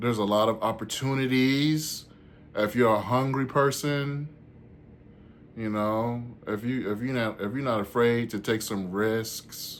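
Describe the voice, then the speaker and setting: A man in a Southern US accent, medium in pitch, fairly slow, with fairly even intonation. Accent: Southern country. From US South, Georgia (Warner Robins). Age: 40s. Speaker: stand-up comedian and vlogger. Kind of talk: casual vlog chat.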